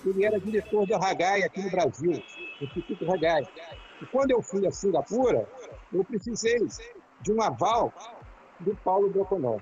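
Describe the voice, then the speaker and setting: With noticeable background noise behind him, a man with a high voice speaks at a moderate pace, using lively intonation and long, frequent pauses. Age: 70s. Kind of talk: casual reminiscing in a live video chat. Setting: live video call.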